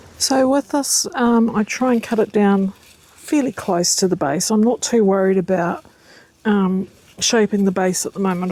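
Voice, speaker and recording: A woman speaks with a New Zealand accent. Her tone is dark and mellow, with ordinary pitch variation. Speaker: gardening vlogger. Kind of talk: casual vlog tutorial. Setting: outdoors in garden. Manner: hesitant, many fillers; whispering.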